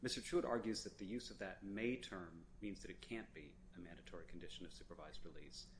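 A man's fairly low voice at a very fast pace. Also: ordinary pitch variation. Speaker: government prosecutor. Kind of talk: appellate oral argument. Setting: courtroom. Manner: formal.

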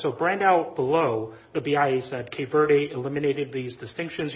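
The voice belongs to a man and is fairly high in pitch. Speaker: lawyer. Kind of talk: appellate oral argument. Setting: courtroom. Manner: halting, frequent repetitions.

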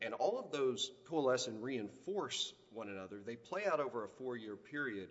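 A man of medium pitch talks at a moderate pace with lively intonation. He hardly pauses, and there is noticeable background noise. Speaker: appellate lawyer. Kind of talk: oral argument. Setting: courtroom.

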